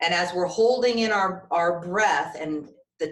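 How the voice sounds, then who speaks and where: A woman speaks fairly slowly in a plain, everyday voice at medium pitch with ordinary pitch variation. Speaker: breathwork and meditation teacher. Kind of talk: guided breathwork instruction. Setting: online video class.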